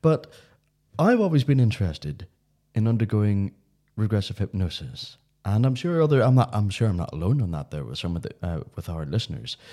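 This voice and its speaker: A man with a Northern Irish accent, fairly low in pitch and dark, mellow in tone, with very wide pitch swings at a fairly quick pace. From Northern Ireland. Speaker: podcast host. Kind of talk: casual chat.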